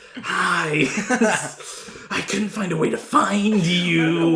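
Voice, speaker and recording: A put-on character voice at middle pitch, very slow pace, with clear background noise. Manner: creepy, menacing.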